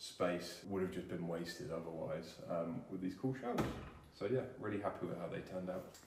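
A man talks at a moderate pace with ordinary pitch variation. Audible room echo and noticeable background noise are present. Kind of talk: casual vlog chat.

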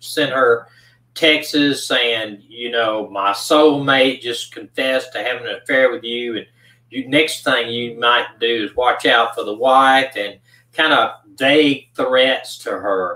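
Bright, sharp tone from a man at a fairly slow pace, with ordinary pitch variation and audible room echo. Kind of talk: case narration on livestream.

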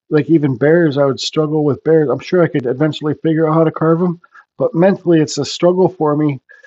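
Quick-paced and fairly even in intonation, a man speaks with a dark, mellow tone and fairly high pitch.

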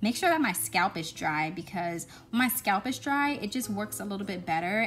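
The speech moves at a moderate pace with faint music in the background. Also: woman. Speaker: hair vlogger. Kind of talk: tutorial voice-over.

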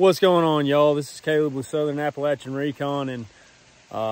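The speaker is a man. His voice sounds dry, with no echo. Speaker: off-road trail vlogger. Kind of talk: casual vlog chat. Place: forest. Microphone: phone near.

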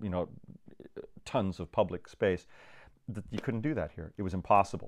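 Against a quiet background, a man with an unremarkable speaking voice talks at a fairly low pitch with fairly even intonation. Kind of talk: conversational interview answer. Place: home room.

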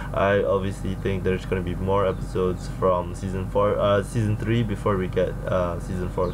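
Over music in the background, a man speaks at a moderate pace. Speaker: reaction video host. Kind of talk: casual vlog chat. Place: home room.

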